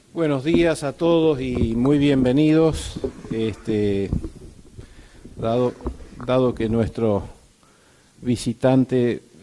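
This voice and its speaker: A man at medium pitch with lively intonation. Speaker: association president giving welcome speech. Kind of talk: welcome speech at a conference. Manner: hesitant, many fillers.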